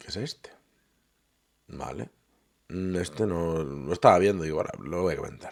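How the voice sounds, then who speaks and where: A soft-spoken man with a very deep, low voice talks at a moderate pace with ordinary pitch variation, big swings in loudness, and long, frequent pauses. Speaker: political commentator reacting to videos. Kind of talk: casual reaction commentary. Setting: at home late at night. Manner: quiet, speaking softly; hesitant, many fillers.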